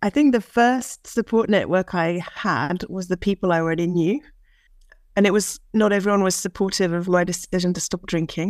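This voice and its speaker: A woman with an East Anglian accent is heard in a dry, close sound with no echo. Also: medium pitch for a woman, ordinary pitch variation, moderate pace. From England, Norwich. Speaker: guest in recovery. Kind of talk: casual panel chat.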